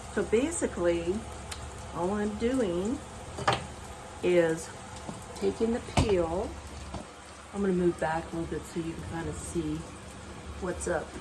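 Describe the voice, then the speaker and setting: With noticeable background noise behind her, a woman speaks in a relaxed tone, leaving long, frequent pauses. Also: ordinary pitch variation, fairly slow pace. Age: 70s. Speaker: home cook. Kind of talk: cooking demonstration to camera. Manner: casual, relaxed.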